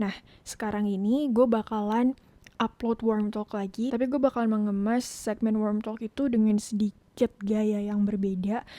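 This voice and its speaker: Soft-spoken and dark, mellow in tone, a woman talks in a monotone, flat intonation with a dry, close sound and no echo. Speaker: podcast host. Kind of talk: casual monologue. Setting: home podcast setup with laptop. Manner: code-switching Indonesian and English.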